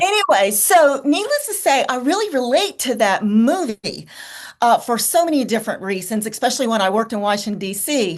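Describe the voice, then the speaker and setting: Speech in a Southern US accent swings very widely in pitch. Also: woman. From US South, rural farm. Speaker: creative guest. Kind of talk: casual roundtable chat.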